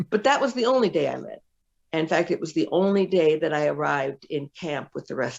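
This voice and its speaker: The woman's voice is very deep and low, with lively intonation. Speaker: former business executive and speaker. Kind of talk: interview storytelling.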